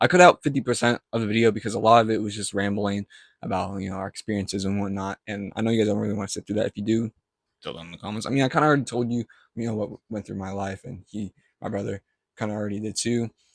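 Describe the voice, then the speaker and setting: A man with a fairly low pitch and fairly even intonation shows big swings in loudness, in a dry, close sound with no echo. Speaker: vlogger. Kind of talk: casual vlog talk to camera. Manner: halting, self-correcting; unscripted, filler-heavy.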